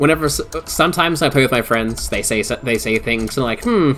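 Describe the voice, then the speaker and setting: Noticeable background noise sits behind a man with a fairly high pitch. His tone is relaxed. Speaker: VTuber streamer. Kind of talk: casual live-stream chat. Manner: stuttering, halting.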